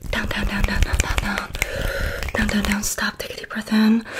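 Loud background noise behind a woman's moderate pace. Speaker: ASMR creator. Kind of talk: soft-spoken ASMR guidance. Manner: slow guiding whisper. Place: home room. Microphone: studio mic.

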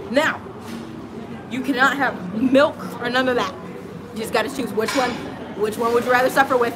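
Over clear music in the background, a woman with a high voice speaks at a moderate pace with fairly even intonation and long, frequent pauses. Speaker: travel vlogger. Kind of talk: casual chat. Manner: playful. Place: garden. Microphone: phone near.

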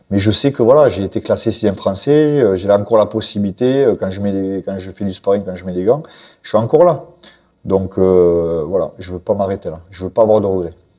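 A man speaks at a fairly quick pace in a fairly low pitch with a dark, mellow tone, ordinary pitch variation and big swings in loudness against a quiet background. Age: 40s. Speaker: professional boxer and coach; coach. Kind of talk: interview; interview answer. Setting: boxing gym. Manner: halting, many fillers and repetitions. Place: gym. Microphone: lapel.

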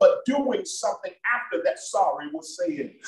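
An animated man's voice with very wide pitch swings and a fairly slow pace, plus audible room echo and light background noise. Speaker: pastor. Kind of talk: sermon and prayer at a church Bible study, preacher in full flow, call-and-response. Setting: church with a congregation, also streamed online. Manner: animated, fervent, rhythmic preaching with exhortations to the congregation. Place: church. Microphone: video call.

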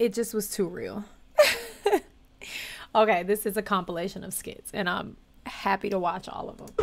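A woman at a moderate pace, with ordinary pitch variation, big swings in loudness, long, frequent pauses and light background noise. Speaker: reaction video creator. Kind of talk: casual reaction commentary. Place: home room.

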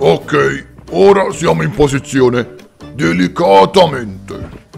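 Over faint music in the background, a man in a put-on character voice speaks at a fairly slow pace, his medium pitch swinging very widely. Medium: audio drama.

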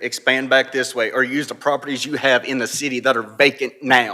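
Talking at a fairly quick pace, a man with a North Carolina accent has a medium pitch. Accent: Southern US (North Carolina). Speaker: local resident speaking at public hearing. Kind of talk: public comment. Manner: emotional, impassioned.

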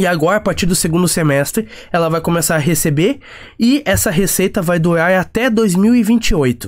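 At a moderate pace, this man talks with lively intonation. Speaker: finance YouTuber. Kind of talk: tutorial. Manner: hesitant with fillers.

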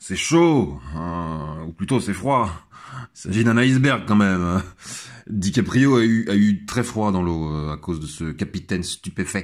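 A man's fairly low-pitched voice with lively intonation at a very slow pace, on a very clean recording with a silent background. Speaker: podcaster. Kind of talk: monologue commentary. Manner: hesitant, stammering.

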